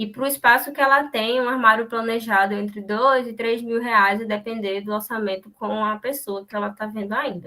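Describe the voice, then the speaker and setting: A woman's fairly even intonation, with hardly any pauses. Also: fairly high pitch for a woman. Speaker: university student presenting. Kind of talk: class seminar presentation. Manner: fast.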